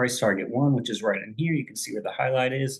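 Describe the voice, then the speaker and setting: A man's medium-pitched voice comes across somewhat breathy. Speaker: stock trading educator. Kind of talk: tutorial. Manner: casual, conversational.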